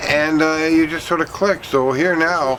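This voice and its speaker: A man speaks at a fairly slow pace with ordinary pitch variation amid noticeable background noise. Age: 60s. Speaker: vlogger. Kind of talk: casual video vlog. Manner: halting, many fillers.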